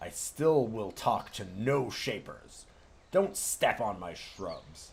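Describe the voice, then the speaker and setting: A man's put-on character voice, gruff and growling, at a medium pitch and a very slow pace. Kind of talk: pompous, haughty. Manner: growling, gruff.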